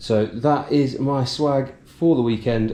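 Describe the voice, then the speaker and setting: The voice belongs to a man and has a dark, mellow tone. Its pitch variation is ordinary. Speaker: running vlogger. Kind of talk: casual vlog narration. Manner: hesitant, many fillers.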